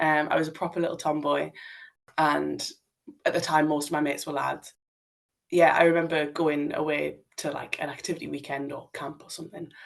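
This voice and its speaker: Speaking at a fairly quick pace with a northeast English accent, a woman leaves long, frequent pauses. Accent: northeast English (Sunderland). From northeast England, Sunderland. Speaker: climber and paraclimbing athlete. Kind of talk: podcast interview. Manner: casual, many fillers.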